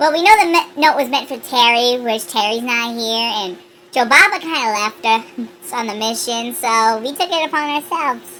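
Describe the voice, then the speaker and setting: Using a put-on character voice, a woman speaks at a high pitch and a moderate pace with lively intonation and hardly any pauses. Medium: actual play. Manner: casual, breezy.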